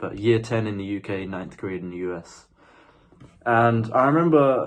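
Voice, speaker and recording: A man with a British accent speaks at a moderate pace. The background is quiet. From UK. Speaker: spiritual vlogger. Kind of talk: casual monologue. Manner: halting.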